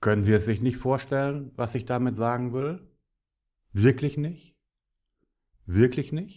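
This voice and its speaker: In a very clean recording with a silent background, a man speaks fairly slowly at a medium pitch in a dark, mellow tone, with ordinary pitch variation and long, frequent pauses. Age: 50s. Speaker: podcaster, business speaker. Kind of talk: solo monologue podcast. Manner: animated.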